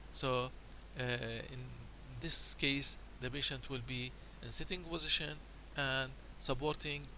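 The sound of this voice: At a fairly slow pace, a man talks at a medium pitch with fairly even intonation.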